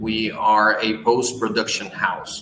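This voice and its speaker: Speaking with a Portuguese accent, a man goes at a very slow pace. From Brazil. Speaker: business owner. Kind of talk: interview.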